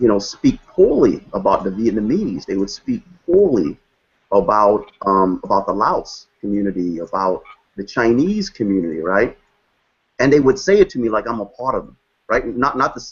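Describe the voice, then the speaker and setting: A man with a Brooklyn accent speaks at a moderate pace, his loudness swinging widely. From New York, Brooklyn. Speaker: guest speaker on race and identity. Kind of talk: panel discussion. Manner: repetitive, halting restarts.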